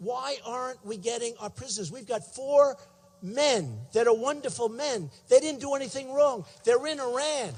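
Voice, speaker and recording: A man with an American accent, extremely high-pitched, at a moderate pace with ordinary pitch variation and big swings in loudness. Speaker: presidential candidate. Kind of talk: political rally speech. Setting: convention center rally, PA system.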